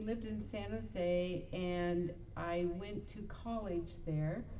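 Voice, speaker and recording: A woman with an American accent, very slow in pace and fairly low in pitch, amid noticeable background noise and audible room echo. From Idaho and California Bay Area. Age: 60s. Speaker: talk show co-host. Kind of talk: personal life story on internet radio show. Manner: hesitant, many fillers.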